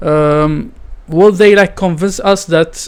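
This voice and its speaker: A high-pitched male voice with a non-native accent and fairly even intonation. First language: not English. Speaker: gaming streamer. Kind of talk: live stream reaction commentary. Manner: halting, many fillers.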